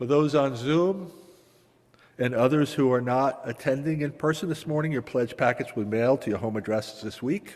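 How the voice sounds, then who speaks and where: A man's medium-pitched voice with a Massachusetts accent, moderate pace and ordinary pitch variation. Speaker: congregation member, stewardship chair. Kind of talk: announcement at church service.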